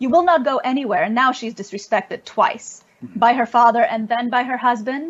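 Speaking at a fairly quick pace, the woman has a high voice. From Ukraine (Lviv), trilingual Russian/Polish/Ukrainian. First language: Russian/Polish. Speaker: spiritual teacher and religion scholar. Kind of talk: interview conversation.

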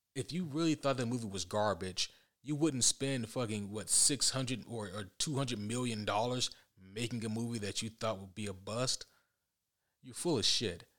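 A man's plain, everyday voice at a medium pitch, with ordinary pitch variation, a moderate pace, and a very clean recording over a silent background. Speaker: podcast host. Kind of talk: casual solo podcast monologue.

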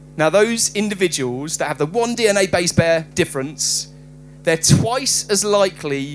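Lively intonation carries this plain reading aloud.

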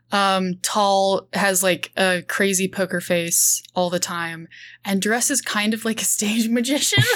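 With a normal speaking voice at medium pitch, a woman talks fairly slowly with ordinary pitch variation and very even loudness, in a very clean recording with a silent background. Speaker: freelance writer and game player. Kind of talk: actual play roleplaying session.

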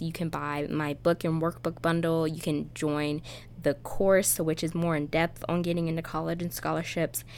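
A woman speaks in a normal speaking voice with an American accent and a fairly low pitch. Her moderate pace comes through on a very clean recording with a silent background. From Pennsylvania. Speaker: podcast host and college admissions coach. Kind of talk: casual monologue.

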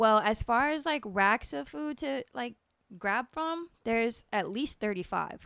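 Speaking with an American accent, a woman has a fairly high pitch and very wide pitch swings at a fairly slow pace. The recording is very clean with a silent background, and the sound is dry and close with no echo. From Florida, US. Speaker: chef. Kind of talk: casual chat.

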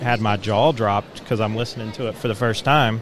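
Over music in the background, the voice holds a monotone, flat intonation. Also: man. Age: 30s. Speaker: former Jehovah's Witness. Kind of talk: testimony.

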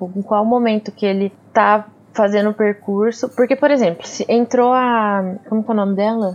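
A plain, everyday voice talks with fairly even intonation, keeping a moderate pace. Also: woman, fairly high pitch for a woman. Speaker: podcast co-host. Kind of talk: casual chat.

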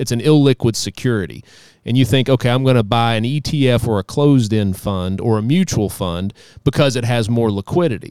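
An unremarkable speaking voice from a man at medium pitch, with lively intonation, moderate pace, a dry, close sound with no echo, and a very clean recording with a silent background. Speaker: financial advisor. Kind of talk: casual chat.

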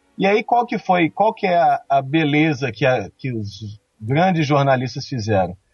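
Over music in the background, a man talks at a fairly slow pace with very wide pitch swings and hardly any pauses. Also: fairly high pitch for a man. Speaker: police investigator. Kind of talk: casual chat.

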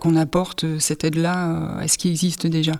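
Speaking at a fairly slow pace, a woman uses a fairly low-pitched voice. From northern France, Pas-de-Calais mining basin. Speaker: visual artist and sound creator. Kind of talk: interview testimony.

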